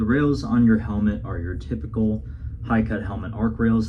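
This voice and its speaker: Amid noticeable background noise, a man with a very deep, low pitch talks at a moderate pace. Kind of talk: product review talk to camera.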